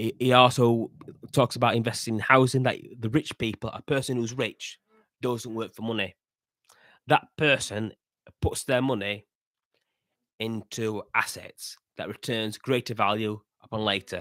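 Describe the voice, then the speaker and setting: With a Yorkshire accent, a man speaks at medium pitch with fairly even intonation and a moderate pace. Long, frequent pauses come through in a dry, close sound with no echo. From northern England, Yorkshire. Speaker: podcast host. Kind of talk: casual monologue commentary. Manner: halting, with restarts and fillers.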